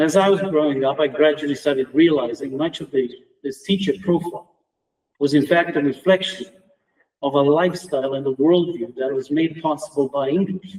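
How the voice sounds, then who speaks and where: A man with a Romanian accent speaks at a fairly high pitch. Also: ordinary pitch variation, fairly quick pace. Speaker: academic, former student of the deceased. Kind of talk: memorial tribute speech. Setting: round table event.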